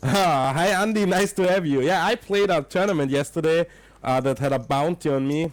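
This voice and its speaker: At a moderate pace, a man talks with an Austrian accent. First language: German. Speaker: poker commentator. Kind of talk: live commentary. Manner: casual, chatty.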